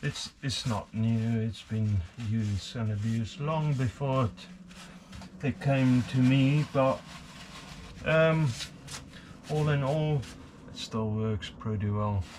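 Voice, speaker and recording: Over noticeable background noise, a man at medium pitch speaks very slowly with lively intonation and long, frequent pauses. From South Africa. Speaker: hobbyist machinist. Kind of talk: workshop tutorial. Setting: home workshop. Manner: hesitant, many fillers.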